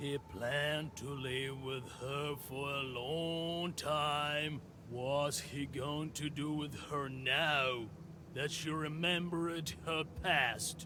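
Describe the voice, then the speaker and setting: A man uses a put-on character voice at a fairly high pitch and a very slow pace. Loud background noise runs underneath. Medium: solo performance.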